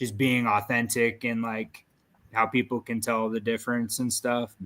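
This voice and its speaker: A man speaks at a moderate pace with a medium pitch. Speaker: content creator. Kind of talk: casual chat. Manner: monotone.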